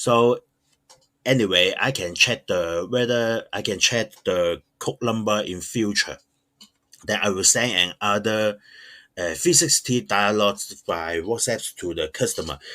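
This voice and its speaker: Bright, sharp tone from a man with a fairly low pitch, at a fairly slow pace, on a very clean recording with a silent background. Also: ordinary pitch variation. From Hong Kong. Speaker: online shop owner. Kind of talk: tutorial. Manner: halting, many fillers.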